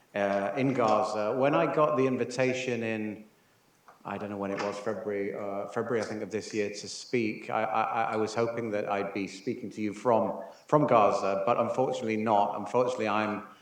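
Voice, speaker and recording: In a room with audible echo, a man talks at a fairly low pitch and a fairly quick pace with fairly even intonation. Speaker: UN humanitarian official. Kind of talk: conference talk. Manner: soft-spoken; halting.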